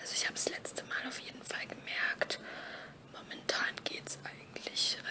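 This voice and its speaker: Someone whispers at a fairly slow pace. Noticeable background noise runs underneath. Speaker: ASMR creator. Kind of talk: casual whispered vlog. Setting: noisy background. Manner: whispered.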